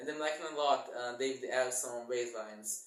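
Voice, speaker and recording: Speaking with a non-native accent, a man uses a fairly high pitch with ordinary variation. The recording has audible room echo and noticeable background noise. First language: not English. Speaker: bass guitar YouTuber. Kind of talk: casual channel introduction vlog. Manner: halting, self-correcting.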